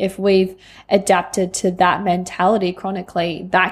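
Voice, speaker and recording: A woman with an Australian accent speaks at a fairly slow pace in a medium pitch, recorded very cleanly against a silent background. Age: 20s. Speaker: podcast host, life coach. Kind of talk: personal monologue.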